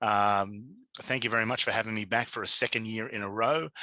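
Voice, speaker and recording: This man has an Australian accent and a bright, sharp tone, delivering monotone, flat intonation at a moderate pace in a dry, close recording with no echo. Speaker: digital media consultant and conference speaker. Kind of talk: conference presentation. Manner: halting, many fillers.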